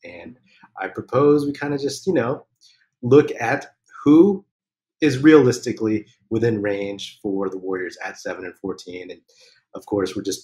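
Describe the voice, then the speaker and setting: A man speaks at a fairly slow pace in a dark, mellow, somewhat breathy tone with ordinary pitch variation. The background is quiet. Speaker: podcast host. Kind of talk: casual podcast chat. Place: home room.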